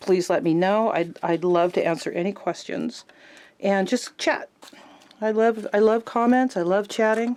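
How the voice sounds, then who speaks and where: A woman speaks at medium pitch with ordinary pitch variation. Her pace is fairly slow. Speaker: art journaling YouTuber. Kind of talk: casual craft tutorial chat. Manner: halting, jumps around with many fillers.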